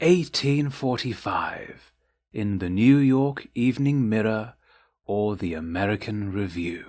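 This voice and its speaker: A man with a British accent at a medium pitch, very slow in pace with lively intonation, on a very clean recording with a silent background. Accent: British, received pronunciation. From England. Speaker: narrator. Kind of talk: poetry reading. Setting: home recording. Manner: slow, calming.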